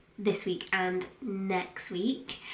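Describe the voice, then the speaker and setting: A woman with a medium pitch speaks at a very slow pace. Her pitch varies in an ordinary way, and room echo is audible. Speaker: lifestyle vlogger. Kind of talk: casual chat.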